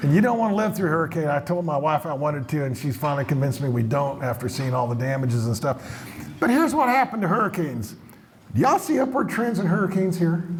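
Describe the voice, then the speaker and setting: Through audible room echo and noticeable background noise, a man with an American accent talks at a very fast pace in an animated tone with very wide pitch swings. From Colorado (Montrose). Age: 70s. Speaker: economist, keynote speaker. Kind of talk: conference talk to live audience. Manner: animated, conversational with audience questions.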